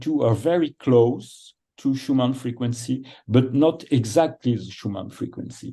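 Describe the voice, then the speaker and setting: At a moderate pace, a man talks at a medium pitch in a dark, mellow tone with ordinary pitch variation. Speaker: programmer and device developer. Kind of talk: technical presentation. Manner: halting.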